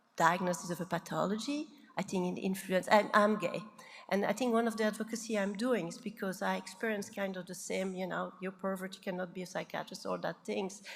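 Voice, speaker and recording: At a moderate pace and a medium pitch, a woman talks in a somewhat breathy voice with fairly even intonation. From Belgium. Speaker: psychiatrist, keynote speaker. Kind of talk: conference Q&A. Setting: conference stage with audience.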